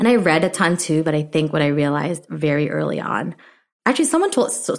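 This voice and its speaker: On a very clean recording with a silent background, a woman talks at a very fast pace in a very deep, low pitch with vocal fry. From immigrated to US at age seven. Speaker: startup co-founder and brand officer. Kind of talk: casual interview chat. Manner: casual, filler-heavy, uses many 'like'.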